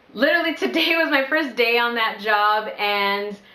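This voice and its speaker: A woman speaks at a moderate pace with an animated, bright, sharp tone. Audible room echo surrounds her voice. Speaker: vlogger. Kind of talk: casual vlog Q&A.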